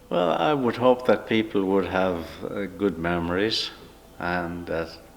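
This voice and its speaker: Against noticeable background noise, a man with an American accent and a very deep, low pitch speaks at a fairly slow pace with ordinary pitch variation. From Ireland, County Wicklow. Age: 80s+. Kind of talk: interview. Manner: hesitant, many fillers.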